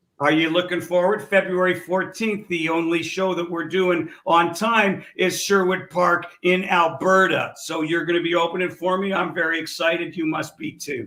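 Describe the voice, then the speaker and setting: A high-pitched male voice with monotone, flat intonation over noticeable background noise. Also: moderate pace, hardly any pauses. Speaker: comedian. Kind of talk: casual chat. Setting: live stream show.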